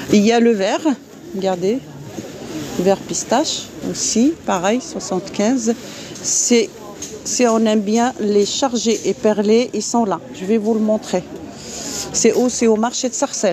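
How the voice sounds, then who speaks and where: Amid noticeable background noise, a woman speaks at a very slow pace and fairly high pitch with ordinary pitch variation and long, frequent pauses, the sound dry with no echo. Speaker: vlogger. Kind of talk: live stream market walkthrough. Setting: outdoors at a market. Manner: animated. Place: market. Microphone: phone near.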